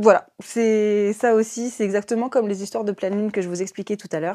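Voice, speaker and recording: This woman's voice sits fairly high. Her tone is dark and mellow. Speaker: esoteric livestreamer. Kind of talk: casual live stream chat. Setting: live stream. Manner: hesitant with many fillers.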